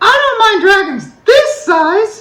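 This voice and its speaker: This is a put-on character voice. It sounds squeaky. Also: female-sounding voice, extremely high pitch for a woman. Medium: read story. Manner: firm.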